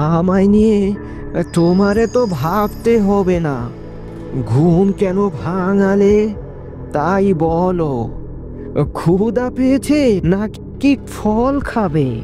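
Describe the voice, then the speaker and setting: Cartoonish character voice at a middle pitch and very slow pace, with loud music in the background. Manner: drowsy, grumbling grandfatherly.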